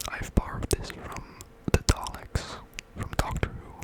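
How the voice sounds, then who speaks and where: Whispering in a relaxed tone at a fairly slow pace. Noticeable noise sits in the background. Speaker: ASMR creator. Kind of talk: ASMR trigger words. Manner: whispered, up close; soft, relaxed, rambling.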